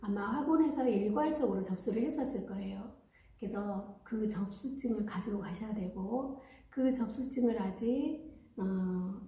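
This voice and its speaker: A woman with a strong Jeolla accent talks at a fairly slow pace, her fairly high pitch showing ordinary variation. Noticeable background noise and audible room echo fill the recording. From Gwangju, Jeolla region, South Korea. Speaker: caregiver training school director. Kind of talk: informational talk.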